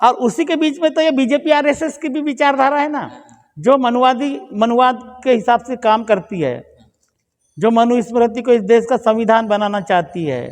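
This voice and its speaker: Lively in intonation, a man speaks at an extremely high pitch. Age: 60s. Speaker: lawyer and political activist. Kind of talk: podcast interview.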